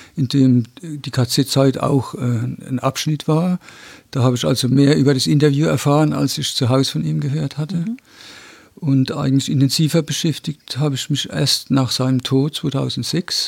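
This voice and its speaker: A man with a somewhat breathy, fairly high voice at a moderate pace. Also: ordinary pitch variation. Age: 60s. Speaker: descendant of Nazi persecution victim. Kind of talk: interview testimony. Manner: halting, frequent hesitations.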